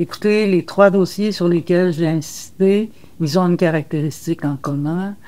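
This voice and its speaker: The voice moves at a fairly slow pace with fairly even intonation. Its tone is dark and mellow. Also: woman, fairly low pitch for a woman. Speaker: retired union leader. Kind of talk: interview.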